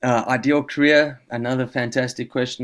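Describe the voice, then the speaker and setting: Over a very clean recording with a silent background, a man talks at a fairly quick pace with fairly even intonation and a slight South African accent. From South Africa, Johannesburg. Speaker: university student. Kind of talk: self-introduction presentation. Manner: casual, with fillers.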